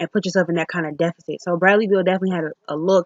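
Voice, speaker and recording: A woman speaks at a very fast pace and a medium pitch. Her intonation is monotone and flat. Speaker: sports vlogger. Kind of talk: casual game review monologue.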